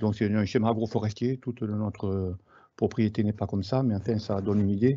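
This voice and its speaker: The man's intonation is flat and monotone. His pitch is medium. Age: 60s. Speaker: market gardener. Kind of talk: webinar presentation. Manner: halting, many hesitations.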